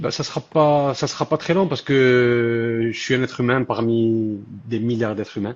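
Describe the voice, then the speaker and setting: A man at a fairly slow pace and medium pitch, with ordinary pitch variation. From southern France. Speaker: social media content creator. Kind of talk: live stream interview.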